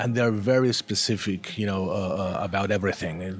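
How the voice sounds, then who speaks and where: This is a man's voice. His pitch sits fairly low. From Argentina. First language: Spanish. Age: 40s. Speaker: comic book artist. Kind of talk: interview. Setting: comics festival. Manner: halting.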